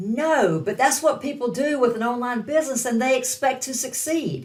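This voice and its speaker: A woman talks in a Southern US accent. She keeps a moderate pace. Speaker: online business coach. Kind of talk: online course lesson.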